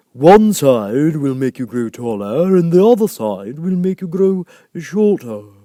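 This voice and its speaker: A man's put-on character voice, fairly high in pitch, with very wide pitch swings at a fairly slow pace. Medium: read story. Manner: terse, contradicting, short remarks.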